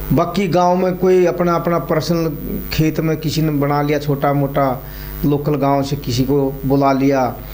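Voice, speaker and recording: Amid noticeable background noise and audible room echo, a man speaks with fairly even intonation and very even loudness. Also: fairly high pitch for a man. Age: 60s. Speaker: wrestling coach and former wrestler. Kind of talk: interview.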